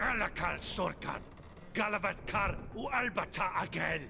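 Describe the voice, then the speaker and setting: A put-on character voice, pitched fairly high, speaks at a moderate pace over loud background noise. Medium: video game. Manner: curt, commanding.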